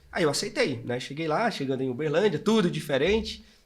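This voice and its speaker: A man's fairly high-pitched voice at a fairly quick pace, with lively intonation and audible room echo. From northeastern Brazil, Maceió, Alagoas. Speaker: entrepreneur. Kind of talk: interview, personal life story.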